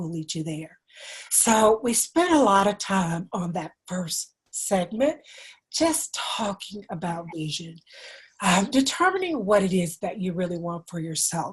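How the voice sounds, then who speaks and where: A moderate pace carries the speech. There is a somewhat breathy quality to the voice. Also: woman. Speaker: dentist and podcast host. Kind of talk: solo talk show monologue.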